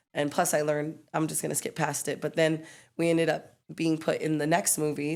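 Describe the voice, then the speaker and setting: A woman speaks in a very deep, low pitch at a fairly quick pace, her intonation monotone and flat. The recording is very clean, with a silent background. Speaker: breakdancer. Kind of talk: casual chat.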